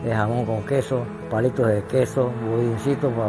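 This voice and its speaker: A man speaks at a fairly low pitch with ordinary pitch variation. Clear music plays in the background. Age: 80s+. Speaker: retired builder and family snack-shop owner. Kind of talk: interview answer. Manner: hesitant. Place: home room. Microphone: lapel.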